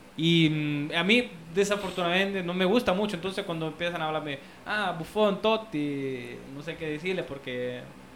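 This man speaks at a moderate pace with a high pitch and ordinary pitch variation. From Italy. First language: Italian (speaking Spanish). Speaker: anthropologist. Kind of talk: casual chat. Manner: halting.

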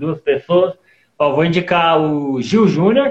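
A man's high-pitched voice at a fairly slow pace, with lively intonation. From Goiás, Brazil (Goiânia). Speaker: stand-up comedian and accordion player. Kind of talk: casual chat.

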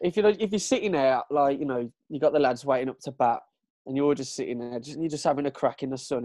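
In a Brummie accent, a voice with a dark, mellow tone moves at a fairly quick pace with ordinary pitch variation, the sound dry and close with no echo. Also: man. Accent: Brummie (Birmingham) English. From Birmingham, England (Kingstanding). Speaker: creative, clothing brand owner. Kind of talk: casual chat.

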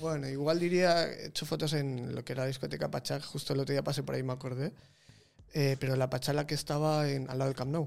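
A man's very fast delivery, fairly high-pitched, in a flat monotone. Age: 30s. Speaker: photographer. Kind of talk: casual chat.

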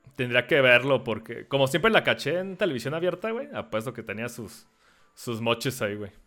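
A man speaks with a Mexican accent and a bright, sharp tone. His intonation is lively, and his loudness swings widely. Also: medium pitch for a man, moderate pace, very clean recording, silent background. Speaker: podcast host. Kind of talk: casual chat. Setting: live stream with Discord call.

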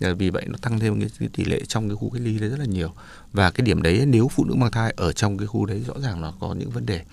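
Talking at a very fast pace, a man shows lively intonation and vocal fry. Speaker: doctor. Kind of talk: radio health advice talk.

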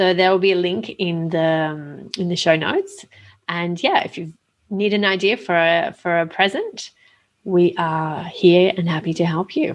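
A woman with an Australian accent speaks at a fairly slow pace, her fairly low voice keeping a fairly even intonation. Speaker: podcast co-host. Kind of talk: casual chat.

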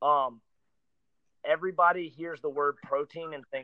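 Fairly even intonation from an unremarkable speaking voice. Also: man. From North Carolina (Greenville). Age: 20s. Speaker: fitness trainer. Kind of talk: casual interview.

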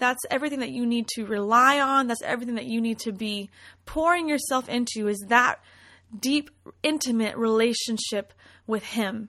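A woman speaks in a plain, everyday voice at a moderate pace, her fairly high pitch carrying ordinary variation over a quiet background. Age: 20s. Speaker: podcast host and worship leader. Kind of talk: devotional monologue. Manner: warm, conversational.

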